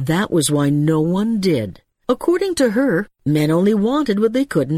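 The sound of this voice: This is an unforced reading voice set against a quiet background.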